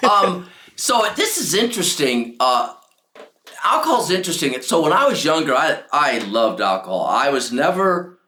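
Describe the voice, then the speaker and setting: Moving at a moderate pace, a man speaks at very even loudness. Audible room echo surrounds his voice. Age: 70s. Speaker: author. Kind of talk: casual chat.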